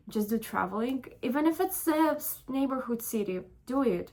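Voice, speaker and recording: A woman is speaking. She talks with a non-native accent. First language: not English. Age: 20s. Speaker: vlogger. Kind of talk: casual chat. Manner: halting.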